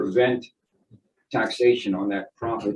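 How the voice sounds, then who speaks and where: This is a man speaking. His pace is moderate. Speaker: expert witness, economist. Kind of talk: court testimony. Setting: courtroom witness stand. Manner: halting.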